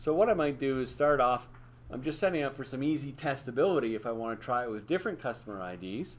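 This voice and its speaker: Lively intonation at a fairly quick pace. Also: man. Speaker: instructor. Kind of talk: tutorial. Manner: fast.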